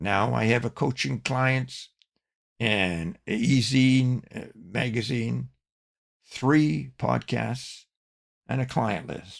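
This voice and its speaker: Vocal fry and lively intonation at a very slow pace, broken by long, frequent pauses. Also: man, medium pitch for a man. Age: 80s+. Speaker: online business coach and podcast host. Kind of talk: scripted podcast monologue.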